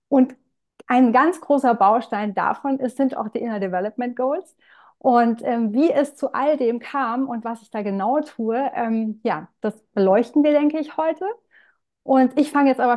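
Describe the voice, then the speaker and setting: A woman speaks at a moderate pace in a high pitch with ordinary pitch variation. Her loudness swings widely. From Palatinate, Germany. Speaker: marketing consultant. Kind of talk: interview conversation.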